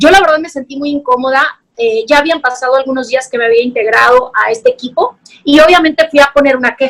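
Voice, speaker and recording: Very fast speech from a woman with a northern Mexican accent, high-pitched, with ordinary pitch variation. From northern Mexico, Sonora. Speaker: journalist. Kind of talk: testimony.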